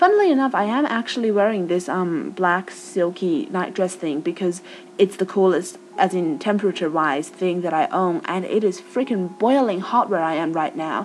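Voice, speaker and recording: Someone with an American accent talks with hardly any pauses. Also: woman, medium pitch for a woman, lively intonation, moderate pace. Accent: Australian with American tinge. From Australia. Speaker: vlogger. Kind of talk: casual chat. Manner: informal, chatty.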